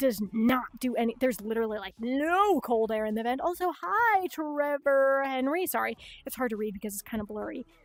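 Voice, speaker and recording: A woman's high voice in a Chicago accent at a fairly quick pace. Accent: Chicago accent with slight Midwestern touches. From US Upper Midwest (Minnesota, South Dakota). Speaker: livestreamer. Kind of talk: casual livestream chat. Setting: home streaming setup in bedroom.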